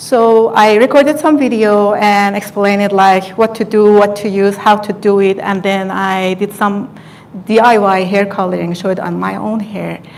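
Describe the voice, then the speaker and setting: A woman with a non-native accent at a medium pitch, speaking at a fairly slow pace over noticeable background noise. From Iran. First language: Farsi. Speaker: hairstylist and beauty content creator. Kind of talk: live stream talk, personal story. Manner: halting, many fillers.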